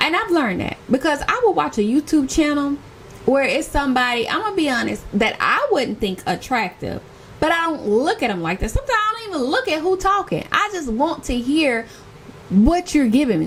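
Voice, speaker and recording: Over noticeable background noise, a woman with an American accent speaks fairly quickly in an animated tone, her high pitch swinging very widely. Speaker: lifestyle YouTuber. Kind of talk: casual vlog talk.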